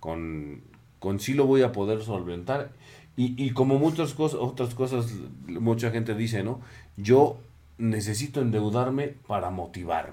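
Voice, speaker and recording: With a Mexican accent, a man talks at a fairly slow pace. His medium-pitched voice has a dark, mellow tone and lively intonation. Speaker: podcast co-host. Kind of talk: casual chat. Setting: studio with camera.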